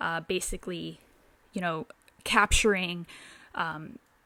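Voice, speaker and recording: A woman speaks at a fairly slow pace in an animated tone. The recording is very clean, with a silent background. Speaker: film reviewer youtuber. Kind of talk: casual movie review vlog. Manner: animated, many fillers.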